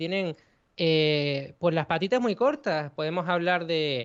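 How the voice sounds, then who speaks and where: Speaking at a fairly slow pace, a man with a Canarian accent has a high pitch. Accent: Canarian Spanish, soft. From Canary Islands, Spain. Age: young. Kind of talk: interview. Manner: halting, repeats words.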